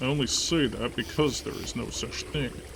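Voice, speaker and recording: Over loud background noise, a man does a gruff, put-on character voice. His pitch is fairly high and his pace moderate. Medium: read story. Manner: gruff, blunt.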